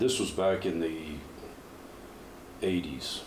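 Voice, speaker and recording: A man with an American accent, heard with audible room echo. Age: 50s. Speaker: powerlifter and coach. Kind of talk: interview.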